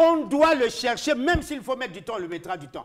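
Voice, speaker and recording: A man with an extremely high pitch speaks in an animated tone at a moderate pace, his pitch swinging very widely. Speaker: political commentator. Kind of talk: heated debate. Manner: loud.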